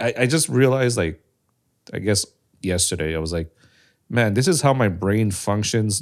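A man speaks with a fairly low pitch and ordinary pitch variation. The recording is very clean, with a silent background. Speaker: content creator and podcast co-host. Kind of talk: casual chat. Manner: audible breathing. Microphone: too close to mouth.

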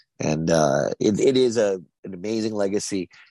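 An American accent with a dry, close sound and no echo. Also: man. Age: 50s. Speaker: actor. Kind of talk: interview.

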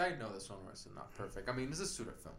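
A man speaks with a Puerto Rican accent. Room echo is audible in the recording. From Puerto Rico, mountain region. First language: Spanish. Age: 20s. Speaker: writer and film producer. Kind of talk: casual chat. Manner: halting.

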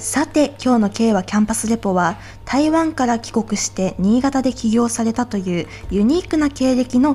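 A woman speaks in a plain, everyday voice. Her pitch sits fairly high and her intonation is lively. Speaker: student radio host. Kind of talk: radio show hosting.

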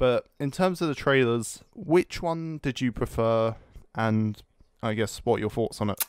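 Speaking with a British accent, a man uses a medium pitch and lively intonation. His pace is fairly slow, and the sound is dry and close with no echo. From Britain. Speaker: podcast co-host. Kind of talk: casual chat. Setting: Skype call.

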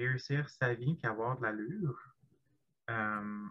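A man speaks with a Quebec accent. His tone is bright and sharp. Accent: Québécois French. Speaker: podcast guest. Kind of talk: casual chat.

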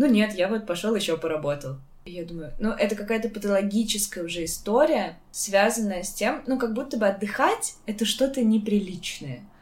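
Noticeable background noise accompanies a woman speaking at a moderate pace with lively intonation. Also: medium pitch for a woman. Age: 20s. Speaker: podcast host. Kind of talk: casual chat.

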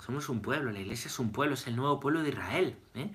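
A man with a bright, sharp tone and fairly high pitch speaks with lively intonation and audible room echo. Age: 30s. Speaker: priest. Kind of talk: catechesis lecture. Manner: repetitive, conversational.

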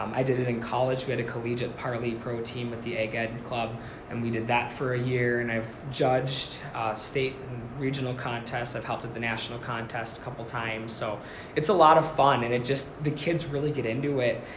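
Noticeable background noise and audible room echo surround a man's voice. He talks at a fairly quick pace and medium pitch, with monotone, flat intonation. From Minnesota, Forest Lake (Twin Cities suburb). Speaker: first-year agriculture teacher. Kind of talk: casual interview chat.

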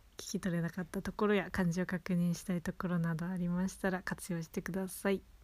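With a slight Hokkaido accent, a woman speaks in a cheerful tone at a fairly quick pace with hardly any pauses, her voice somewhat breathy, fairly low in pitch and monotone, with flat intonation. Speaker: podcast host teaching Japanese. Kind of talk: casual chat. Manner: cheerful, laughing often.

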